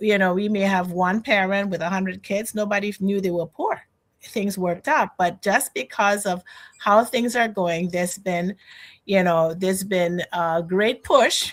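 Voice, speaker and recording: A woman with a Trinidadian accent at a medium pitch, ordinary pitch variation and a fairly slow pace, in a very clean recording with a silent background. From Trinidad and Tobago. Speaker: financial educator. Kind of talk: interview conversation.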